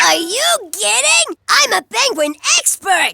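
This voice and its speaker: A cartoonish character voice at an extremely high pitch with very wide pitch swings and a fairly slow pace, over faint music in the background. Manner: enthusiastic, know-it-all.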